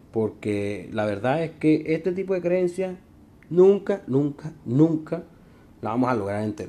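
This man has a dark, mellow tone and a fairly high pitch, with very wide pitch swings. He talks at a fairly slow pace with a Venezuelan accent. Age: 20s. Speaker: podcast host. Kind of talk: comedic monologue. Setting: recording in his elevator.

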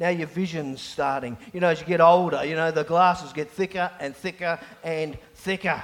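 Over noticeable background noise, a man speaks loudly at a moderate pace in a high pitch. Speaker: pastor. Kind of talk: sermon. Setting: church.

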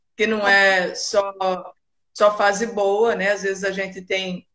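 A woman talks at a very slow pace. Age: 50s. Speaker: kidney transplant patient and volunteer. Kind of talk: casual interview on a live stream. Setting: live video stream.

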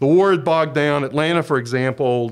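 Here is a plain, everyday voice. It moves at a moderate pace. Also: man. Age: 60s. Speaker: journalism professor. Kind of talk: casual chat.

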